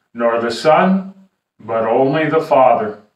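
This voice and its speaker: Against a quiet background with audible room echo, a man speaks at a very slow pace. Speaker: pastor. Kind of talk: scripture reading in sermon. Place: home room. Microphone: camera far.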